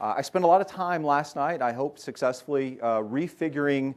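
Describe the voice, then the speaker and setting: A man with a medium-pitched voice talks at a fairly quick pace with ordinary pitch variation over a quiet background. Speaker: tech industry speaker. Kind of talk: conference talk. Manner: fast.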